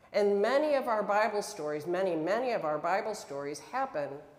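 A woman with an American accent speaks with lively intonation at a moderate pace. Audible room echo surrounds her voice. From upstate New York. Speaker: pastor. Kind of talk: sermon. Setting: church. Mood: warm, earnest. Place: church.

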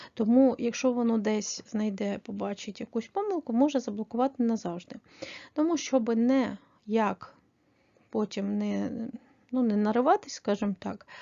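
A woman's fairly high voice at a moderate pace, with ordinary pitch variation and long, frequent pauses. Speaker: online selling tutorial creator. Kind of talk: tutorial.

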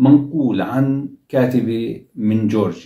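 Against a quiet background with audible room echo, a man speaks in a dark, mellow, somewhat breathy tone. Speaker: commentator. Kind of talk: commentary. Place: home room.

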